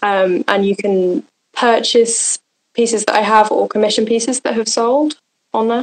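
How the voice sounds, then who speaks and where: A woman's fairly high voice in a southern English accent, fairly even in intonation, with a dry, close sound and no echo. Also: moderate pace. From Oxfordshire, England. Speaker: painter. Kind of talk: interview. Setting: live stream.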